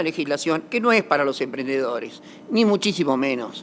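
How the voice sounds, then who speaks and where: Lively intonation from a man speaking at a fairly quick pace. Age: 60s. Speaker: lawyer, corporate law expert. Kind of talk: conference talk. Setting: auditorium with audience. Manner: halting, many restarts and fillers.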